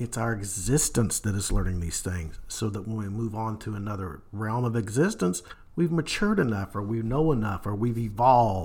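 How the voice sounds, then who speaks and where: In a Kentucky accent, a man speaks at a fairly quick pace and medium pitch, somewhat breathy, with ordinary pitch variation. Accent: Kentucky Southern US. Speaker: paranormal podcast host. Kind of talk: solo podcast monologue.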